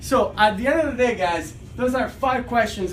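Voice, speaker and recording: Audible room echo and noticeable background noise surround an animated voice talking at a fairly quick pace. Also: man. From Italy. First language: Italian. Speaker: realtor. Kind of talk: casual video commentary.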